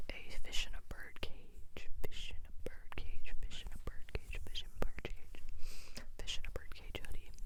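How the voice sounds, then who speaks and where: Someone is whispering. The pace is moderate. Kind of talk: ASMR whisper talk. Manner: whispered.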